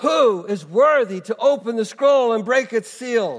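A man shouts loudly in a put-on character voice, pitched extremely high for a man, at a fairly slow pace. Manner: shouting, proclaiming.

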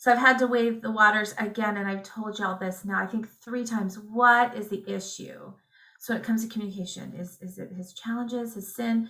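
Quick-paced and fairly high, a woman with an American accent speaks in a bright, sharp tone with monotone, flat intonation. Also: big swings in loudness. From Indiana, US Midwest. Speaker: homeschooling mother. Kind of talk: interview.

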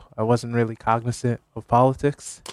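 A man with an American accent speaks at a medium pitch and a moderate pace. His intonation is monotone and flat, and the sound is dry and close with no echo. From Connecticut, Hamden. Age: 20s. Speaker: local political candidate. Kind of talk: radio interview. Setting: radio studio.

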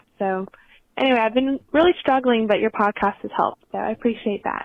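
This is a woman with an unremarkable speaking voice. Her pitch is fairly high and varies in an ordinary way. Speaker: listener voicemail caller. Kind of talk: voicemail asking for advice. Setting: phone call.

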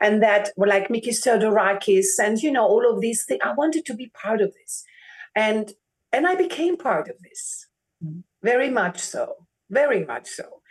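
With a German accent, a woman speaks at a fairly high pitch with lively intonation and big swings in loudness. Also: moderate pace. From Germany. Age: 40s. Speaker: opera singer. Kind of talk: interview. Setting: video call. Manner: animated.

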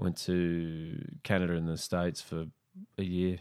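In an Australian accent, a man speaks with a very deep, low pitch and monotone, flat intonation. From Brisbane, Queensland, Australia. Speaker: comedian. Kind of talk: casual chat.

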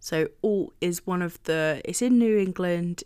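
A woman speaks in a normal speaking voice at a medium pitch. Her pitch rises and falls in an ordinary way. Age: 30s. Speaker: book podcast co-host. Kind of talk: casual book discussion.

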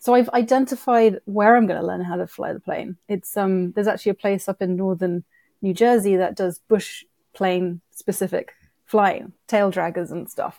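A woman speaks at a medium pitch with ordinary pitch variation and a dark, mellow tone, recorded dry and close with no echo on a very clean track with a silent background. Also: moderate pace. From UK. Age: 30s. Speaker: wildlife documentary producer and director. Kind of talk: casual interview chat.

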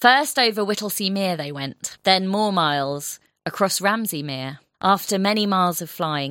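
Delivered in a natural reading voice, the clip has a quiet background.

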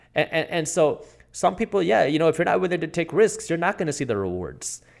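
A man talks at a very fast pace in a fairly high pitch with vocal fry. The recording is very clean, with a silent background. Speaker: entrepreneur and YouTuber. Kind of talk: casual interview.

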